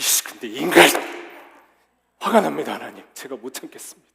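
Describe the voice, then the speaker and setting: Using a put-on character voice, a man with a medium pitch talks at a fairly quick pace. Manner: furious, exasperated.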